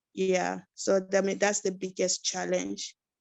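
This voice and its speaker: This woman talks at a fairly slow pace with a medium pitch. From West Africa (Côte d'Ivoire, Ghana, Sierra Leone camps). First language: Yakuba. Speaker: refugee, support worker. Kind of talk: webinar interview.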